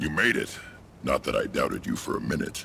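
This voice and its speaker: Over clear background noise, a man does a raspy put-on character voice at a fairly quick pace. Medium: video game. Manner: gruff, commanding.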